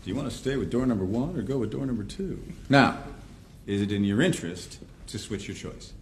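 A man talks at a very fast pace with lively intonation. Light background noise can be heard. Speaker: professor. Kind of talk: lecture. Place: classroom.

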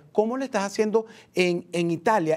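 This man talks at a moderate pace. Variation in his pitch is ordinary. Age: 50s. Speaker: TV news host. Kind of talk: live TV interview. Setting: studio. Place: studio.

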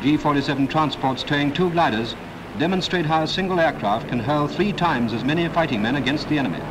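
Over noticeable background noise, a man speaks at a very fast pace and a fairly high pitch, with ordinary pitch variation and very even loudness. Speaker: newsreel narrator. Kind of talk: wartime newsreel narration. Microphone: old recording.

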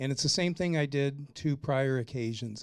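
In a very clean recording with a silent background, a man speaks in a dark, mellow tone with lively intonation. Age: 60s. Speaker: city council candidate and former mayor. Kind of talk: candidate forum statement. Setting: public forum in a conference room.

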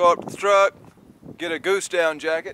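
Against light background noise, a man speaks at a moderate pace in a bright, sharp tone with ordinary pitch variation, the sound dry with no echo. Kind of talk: casual vlog chat. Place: waterside. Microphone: phone near.

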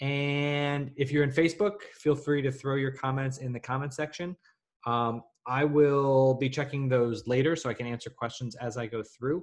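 A man at a moderate pace, with fairly even intonation and a quiet background. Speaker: online class instructor. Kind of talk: live webinar tutorial. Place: home room. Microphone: webcam.

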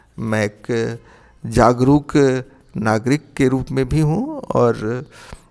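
The voice moves through ordinary pitch variation against a quiet background. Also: man. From Bihar, Chhapra; Bihar. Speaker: retired philosophy professor. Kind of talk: interview. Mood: calm, reflective. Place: home room.

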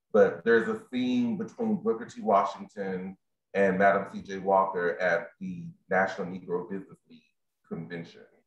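The voice moves at a moderate pace, with audible room echo. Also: man, big swings in loudness. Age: 30s. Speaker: library program specialist. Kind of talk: moderated presentation; discussion question and remarks. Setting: video call from home. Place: home room. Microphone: webcam.

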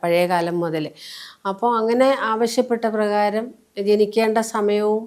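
A woman talks with an ordinary speaking voice. Her pitch is medium and her intonation fairly even. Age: 60s. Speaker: spiritual healer. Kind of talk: interview.

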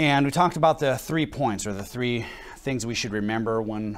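With ordinary pitch variation, a man keeps a moderate pace as he talks. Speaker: pastor. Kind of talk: sermon. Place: church.

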